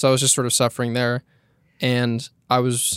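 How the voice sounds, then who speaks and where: The voice has an American accent and a dry, close sound with no echo. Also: man, very clean recording, silent background. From California, Monterey County. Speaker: video editor. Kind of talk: casual interview.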